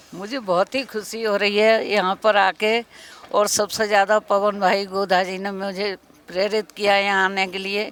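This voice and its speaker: In a dry, close sound with no echo, a woman speaks at medium pitch with monotone, flat intonation. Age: 70s. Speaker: devotee attending religious festival. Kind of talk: interview.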